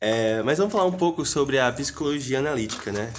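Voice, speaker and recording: In a normal speaking voice, a man talks at a fairly quick pace and a medium pitch. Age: 20s. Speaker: podcast host. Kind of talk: casual interview.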